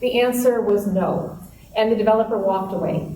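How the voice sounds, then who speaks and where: A woman with a Minnesota accent speaks at a moderate pace in a fairly high pitch. Noticeable background noise and audible room echo fill the recording. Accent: Minnesota accent, still noticeable. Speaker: historic preservation advocate. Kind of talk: talk to an audience. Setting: meeting room with audience.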